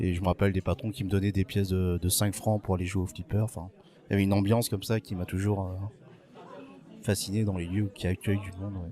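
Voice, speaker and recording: A man talks very fast yet with long, frequent pauses, in a flat monotone. His voice is fairly low, with a dark, mellow tone. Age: 40s. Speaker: bartender. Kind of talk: interview. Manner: hesitant, many fillers.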